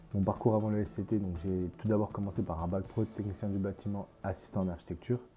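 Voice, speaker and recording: A man talks very fast at a fairly low pitch, with hardly any pauses and fairly even intonation. Music sits in the background. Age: 20s. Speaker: construction management student. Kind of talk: interview with site tour. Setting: construction site. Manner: hesitant, many fillers.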